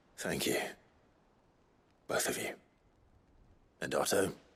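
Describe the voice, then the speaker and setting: A man whispers in a raspy, put-on character voice at a moderate pace. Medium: video game. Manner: low, calm, restrained.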